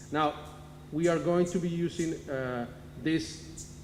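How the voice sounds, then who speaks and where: Room echo can be heard while a man talks with fairly level intonation. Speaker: cement company marketing manager. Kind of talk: technical presentation. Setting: town hall meeting. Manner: halting, with fillers and self-corrections.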